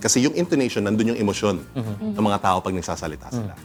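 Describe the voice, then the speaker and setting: A man's voice with music in the background. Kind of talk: clear, expressive voice-over style.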